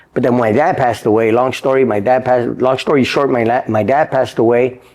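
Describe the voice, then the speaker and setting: A man with an American accent, a normal speaking voice, and a fairly quick pace. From Los Angeles area, California. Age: 50s. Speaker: boxing trainer. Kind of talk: interview.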